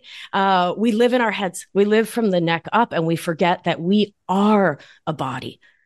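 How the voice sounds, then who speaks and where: Over a quiet background, a woman uses an unremarkable speaking voice at medium pitch with lively intonation. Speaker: somatic life coach and nurse practitioner. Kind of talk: casual interview chat about wellness.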